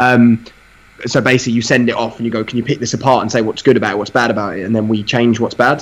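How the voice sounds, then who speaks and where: Speaking very fast at medium pitch, a man with an East London accent keeps a monotone, flat intonation. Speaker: fitness podcast guest. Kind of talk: casual banter.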